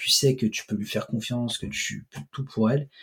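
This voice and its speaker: A man speaks in a somewhat breathy voice at a medium pitch. His pace is moderate and his intonation fairly even. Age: 20s. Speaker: host's cousin. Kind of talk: casual chat.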